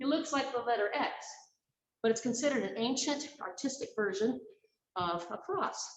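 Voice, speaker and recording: The voice has an American accent, an energetic tone and very wide pitch swings at a moderate pace. Audible room echo surrounds it. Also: woman. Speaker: fitness instructor and park guide. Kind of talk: exercise class instruction. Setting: indoor pool at a historic castle. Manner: energetic, counting aloud.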